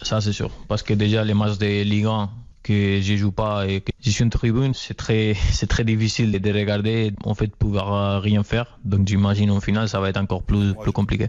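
Delivered in a Spanish accent at a moderate pace, the speech has monotone, flat intonation against a quiet background. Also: man, fairly low pitch for a man. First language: Spanish (speaking French). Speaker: professional footballer. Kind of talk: interview.

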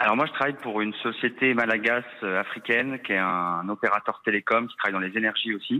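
This man has a plain, everyday voice at a medium pitch with fairly even intonation. He talks at a fairly quick pace with hardly any pauses. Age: 30s. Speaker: expatriate caller, project manager. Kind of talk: phone interview.

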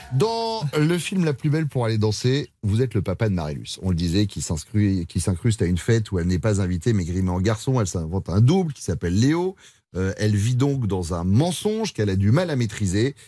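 A man with an unremarkable speaking voice, fairly low in pitch, talking at a fairly quick pace with lively intonation and hardly any pauses. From France, Vendée. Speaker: radio host. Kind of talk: casual chat. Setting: studio.

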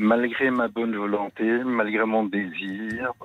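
This is a man speaking. His pitch is medium. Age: 70s. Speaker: caller. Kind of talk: testimony. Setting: phone call. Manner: halting.

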